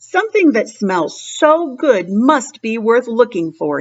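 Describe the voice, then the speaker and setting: A woman puts on a raspy character voice with a fairly high pitch. She speaks at a fairly slow pace. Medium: read story.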